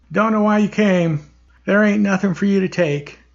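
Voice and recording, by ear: A man speaks in a strained, high-pitched put-on character voice at a moderate pace, his loudness very even and his intonation fairly even.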